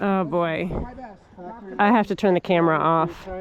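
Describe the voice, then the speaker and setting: Delivered at a moderate pace, the speech keeps a fairly even intonation. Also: woman. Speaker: bikepacking vlogger. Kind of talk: casual vlog narration. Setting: outdoors. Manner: loud.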